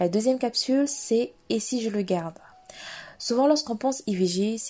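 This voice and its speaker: Lively in intonation, a woman with a plain, everyday voice speaks at a moderate pace. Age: 20s. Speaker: podcast host. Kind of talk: solo podcast introduction.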